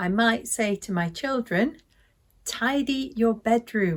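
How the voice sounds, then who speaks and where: Somewhat breathy and fairly high-pitched, a woman with a British accent makes very wide pitch swings. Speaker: English teacher. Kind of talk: language lesson to camera. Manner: slow, clear.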